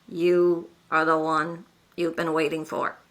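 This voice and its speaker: Using a booming put-on character voice, a woman speaks at a fairly slow pace and fairly low pitch with monotone, flat intonation. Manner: grandiose, declarative.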